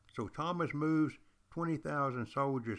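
A man speaks with a slight Southern US accent. The recording is very clean, with a silent background. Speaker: history teacher and podcast host. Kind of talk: casual history lecture. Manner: animated.

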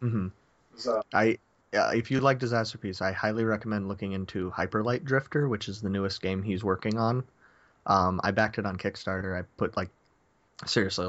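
Speaking at a fairly quick pace with fairly even intonation, a man leaves long, frequent pauses. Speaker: podcast guest.

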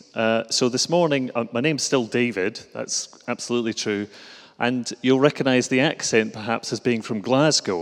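Someone reads a text aloud in a natural voice.

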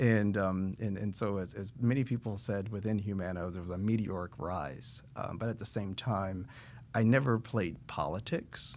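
A man with an American accent talks at a moderate pace in a plain, everyday voice, pitched fairly low. The recording is very clean with a silent background. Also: ordinary pitch variation. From Indiana, US Midwest. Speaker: nonprofit board member and healthcare company executive. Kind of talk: casual interview. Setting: studio.

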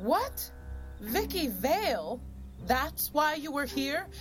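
A woman uses a put-on character voice, pitched high, with big pitch swings. She speaks at a slow pace over clear music in the background.

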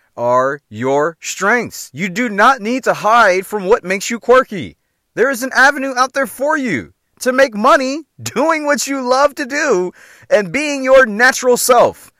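An animated man with an extremely high pitch projects his raised voice at a fairly slow pace, his tone bright and sharp and his intonation lively, in a very clean, dry, close recording with a silent background and no echo. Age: 40s. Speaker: motivational podcaster. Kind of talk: motivational monologue.

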